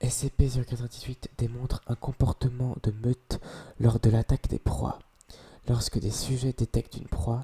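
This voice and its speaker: A dark, mellow, somewhat breathy voice at a moderate pace, with fairly even intonation and a dry, close sound with no echo. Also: man. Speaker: ASMR creator. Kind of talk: reading aloud. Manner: whispered ASMR delivery; occasional stumbling.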